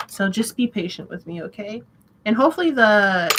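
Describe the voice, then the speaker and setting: A woman's fairly high, bright and sharp voice at a moderate pace. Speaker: tarot reader. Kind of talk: casual tarot reading livestream. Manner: casual, chatty.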